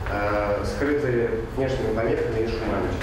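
A man's voice with strong room echo and noticeable background noise. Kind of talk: scientific presentation. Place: classroom. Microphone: camera far.

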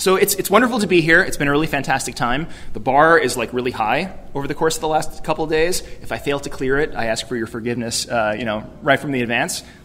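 Delivered at a very fast pace with hardly any pauses, the speech has lively intonation and an American accent. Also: man, fairly high pitch for a man. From New York City. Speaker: youth ministry director; keynote speaker. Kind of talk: keynote speech. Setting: conference stage with audience. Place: hall. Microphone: podium.

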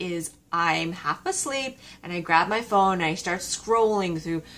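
The woman's speech moves at a fairly slow pace. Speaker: vlogger. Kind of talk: casual vlog chat. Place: home room. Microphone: phone near.

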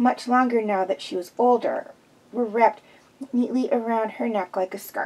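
A reading voice is heard. It sounds unforced.

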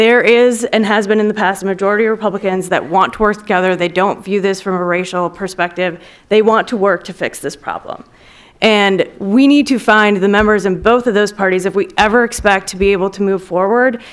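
Using a fairly quick pace and fairly even intonation, a woman speaks with an American accent. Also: quiet background. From Wisconsin, US Midwest. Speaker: former congressional policy aide, lobbyist; panelist. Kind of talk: panel discussion. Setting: stage with audience. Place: hall. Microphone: podium.

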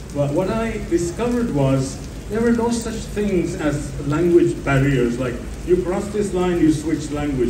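This man speaks with a high pitch and lively intonation. There is noticeable background noise. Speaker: panel speaker, traveler. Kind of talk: panel discussion at a literary festival. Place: stage. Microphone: pa.

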